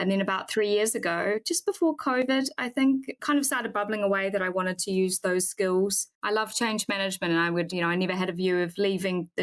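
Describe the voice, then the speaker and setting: A woman with a New Zealand accent talks at a very fast pace and a medium pitch, in a dry, close sound with no echo. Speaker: head of sustainability. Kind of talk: podcast interview.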